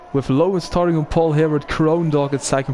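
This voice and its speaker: Over noticeable background noise, a man talks with flat, monotone intonation. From Belgium. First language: Dutch. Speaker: sim racing commentator and streamer. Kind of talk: casual chat with stream viewers; live commentary. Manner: halting, with many fillers.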